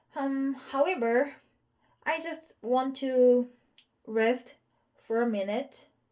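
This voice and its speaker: Using a Korean accent, a woman speaks very slowly in a high voice with a dark, mellow tone and ordinary pitch variation. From South Korea. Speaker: English learner. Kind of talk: casual chat. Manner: halting.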